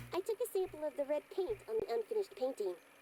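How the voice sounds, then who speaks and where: A put-on character voice, squeaky and extremely high in pitch, rattles along at a very fast pace. Clear background noise sits behind it. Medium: video game. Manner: blunt, matter-of-fact.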